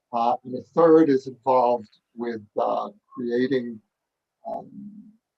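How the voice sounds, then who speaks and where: A man at medium pitch, with ordinary pitch variation. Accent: New York. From New York. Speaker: author. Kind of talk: panel dialogue. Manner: hesitant, many fillers.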